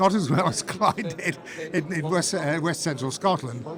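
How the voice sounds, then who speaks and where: Against noticeable background noise, a man talks at a moderate pace with a high pitch and lively intonation. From northern England, Manchester area. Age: 70s. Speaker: retired radio presenter. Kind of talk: interview. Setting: civic reception. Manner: halting, with repetitions.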